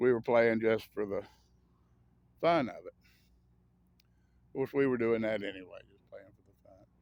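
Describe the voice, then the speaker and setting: A man with an American accent speaks at a moderate pace in a medium pitch, with ordinary pitch variation, big swings in loudness and long, frequent pauses. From US South. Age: 60s. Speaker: vlogger. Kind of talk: casual monologue. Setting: outdoors. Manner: rambling, halting with fillers.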